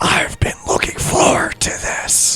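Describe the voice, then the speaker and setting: Someone puts on a raspy character voice and speaks at a fairly slow pace. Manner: menacing, theatrical.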